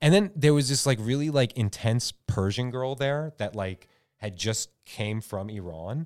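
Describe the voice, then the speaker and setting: A man with an unremarkable speaking voice, medium in pitch, with lively intonation at a fairly slow pace, in a very clean recording with a silent background. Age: 30s. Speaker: film studio co-founder and director. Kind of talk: casual chat.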